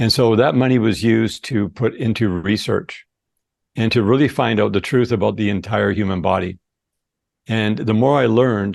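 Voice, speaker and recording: A man with a fairly low pitch and vocal fry speaks against a quiet background. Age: 60s. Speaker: supplement company founder. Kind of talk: interview.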